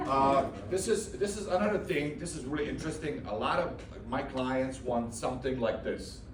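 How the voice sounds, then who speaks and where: Audible room echo and noticeable background noise fill the recording. A man speaks at a moderate pace in a fairly high voice. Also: lively intonation. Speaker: handyman. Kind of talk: business networking presentation. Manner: hesitant, many fillers.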